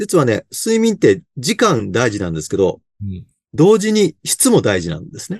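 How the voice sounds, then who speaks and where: At a moderate pace, a man speaks at a fairly high pitch with very wide pitch swings and big swings in loudness. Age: 60s. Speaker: sleep consultant. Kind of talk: interview. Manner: many fillers.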